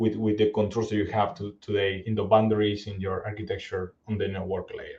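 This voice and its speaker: Here a man talks at a fairly quick pace with a medium pitch. His voice is somewhat breathy. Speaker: cybersecurity executive presenter. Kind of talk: webinar presentation. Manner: fast; halting, many repetitions.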